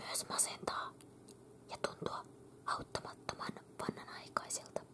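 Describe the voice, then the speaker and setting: A woman whispering at a fairly slow pace amid noticeable background noise. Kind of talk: ASMR magazine reading. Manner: whispered.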